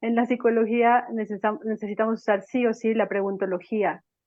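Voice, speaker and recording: A woman with a normal speaking voice, a fairly high pitch, fairly even intonation and a moderate pace. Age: 40s. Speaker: psychologist. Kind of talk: panel talk.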